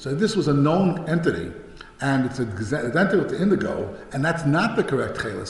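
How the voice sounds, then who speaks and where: Someone speaks at a very fast pace with lively intonation in an American accent, with audible room echo and noticeable background noise. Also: man. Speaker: rabbi and yeshiva head. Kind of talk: lecture. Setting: talk at a synagogue study day. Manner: hesitant, many fillers and restarts.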